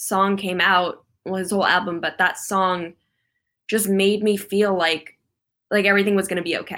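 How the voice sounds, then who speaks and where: In an American accent, a woman with a medium pitch and a bright, sharp tone speaks in a flat monotone at a moderate pace, on a very clean recording with a silent background. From US West Coast. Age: young. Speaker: singer-songwriter. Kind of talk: casual interview.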